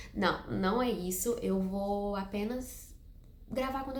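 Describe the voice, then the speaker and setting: A woman speaks with ordinary pitch variation. There is audible room echo and noticeable background noise. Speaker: book youtuber. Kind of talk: casual vlog to camera. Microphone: no microphone, improvised setup.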